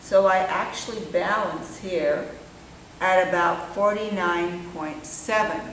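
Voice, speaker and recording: A woman talks at a very slow pace, with noticeable background noise and audible room echo in the recording. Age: 60s. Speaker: physics teacher. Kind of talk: lab demonstration tutorial. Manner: casual explanatory.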